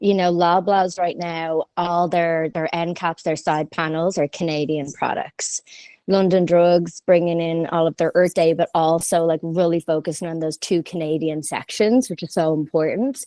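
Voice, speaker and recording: In an Irish accent, a woman speaks at a moderate pace with a fairly low, dark, mellow voice. Her intonation is fairly even, and the sound is dry and close with no echo. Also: hardly any pauses, quiet background. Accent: Irish, lasting. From Ireland. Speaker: merchandising company founder. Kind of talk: podcast interview.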